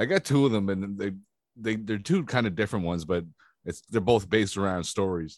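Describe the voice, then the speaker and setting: Here a man speaks at a moderate pace with a fairly low pitch and ordinary pitch variation. The background is quiet. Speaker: podcast co-host. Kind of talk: casual chat.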